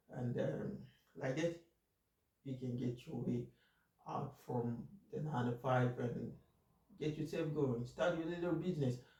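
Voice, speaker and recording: A man with a dark, mellow tone and vocal fry, at a fairly slow pace with long, frequent pauses. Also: medium pitch for a man, ordinary pitch variation. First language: not English. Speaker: finance YouTuber. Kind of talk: casual monologue. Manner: halting, many fillers.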